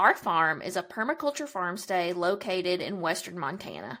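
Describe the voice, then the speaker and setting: In a Kentucky accent, a woman speaks at a moderate pace with a bright, sharp tone and lively intonation. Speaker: podcast host, farm PR coordinator. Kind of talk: podcast introduction monologue. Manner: enthusiastic.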